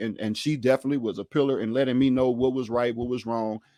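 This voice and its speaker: With a Louisiana accent, a man speaks in a dark, mellow tone at medium pitch on a very clean recording with a silent background. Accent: Southern US, Louisiana. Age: 30s. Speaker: podcast host. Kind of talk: casual chat.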